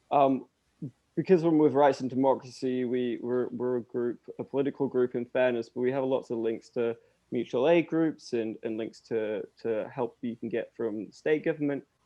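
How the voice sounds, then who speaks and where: Someone with an English accent talks at a moderate pace, keeping the intonation fairly even. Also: man, medium pitch for a man. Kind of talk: role-play demonstration of a doorstep conversation.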